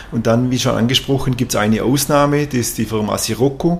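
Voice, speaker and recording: A man with an unremarkable speaking voice talks at a medium pitch and fairly even intonation. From Swabia, southern Germany (near Tuttlingen). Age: 50s. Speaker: company executive. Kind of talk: interview.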